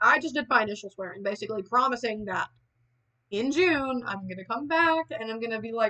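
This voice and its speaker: With an American accent, the voice moves at a fairly quick pace with lively intonation. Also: woman. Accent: Southern country accent, said to be heavy. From US South. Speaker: streamer. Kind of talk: casual chat. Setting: livestream away from home.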